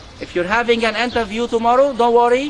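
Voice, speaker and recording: A man speaks at a moderate pace with an extremely high pitch. Noticeable background noise can be heard. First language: not English. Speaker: university lecturer, club coordinator. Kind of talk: conversation club session. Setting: university cafe with students.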